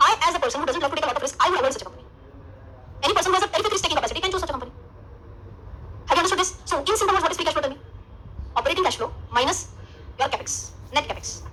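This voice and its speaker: A woman with an Indian accent, her extremely high pitch and raised, projected voice racing at a very fast pace, lively intonation, long and frequent pauses, and noticeable background noise throughout. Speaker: finance teacher. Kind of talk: lecture. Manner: animated.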